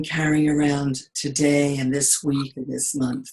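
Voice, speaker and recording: With a Brooklyn accent, a woman speaks at a fairly slow pace. Her voice is very deep and low, and somewhat breathy. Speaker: coach. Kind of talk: guided meditation.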